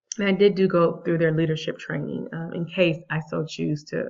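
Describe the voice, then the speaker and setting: A woman with a fairly low pitch and a normal speaking voice talks with an American accent. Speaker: vlogger, math teacher abroad. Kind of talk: casual vlog.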